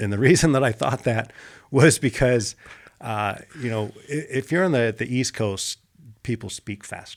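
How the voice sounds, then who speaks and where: On a very clean recording with a silent background, a man with an ordinary speaking voice talks at a moderate pace and medium pitch with ordinary pitch variation. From Pittsburgh area, Pennsylvania, then California from age 11. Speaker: former marine and jiu-jitsu coach. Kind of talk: podcast interview. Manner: conversational, with many fillers.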